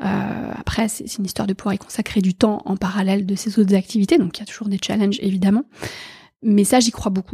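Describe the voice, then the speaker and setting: A woman with a medium pitch talks at a fairly quick pace, her voice somewhat breathy with a dark, mellow tone. The recording is very clean with a silent background and a dry, close sound with no echo. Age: 40s. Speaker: HR and impact executive. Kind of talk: interview. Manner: halting, many fillers.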